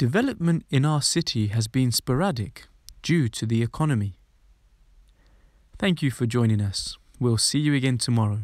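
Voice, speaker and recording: Lively intonation and very even loudness run through speech broken by long, frequent pauses, on a very clean recording with a silent background. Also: man, medium pitch for a man. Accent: British. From London. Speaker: English teacher. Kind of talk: vocabulary lesson. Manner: clear, slow.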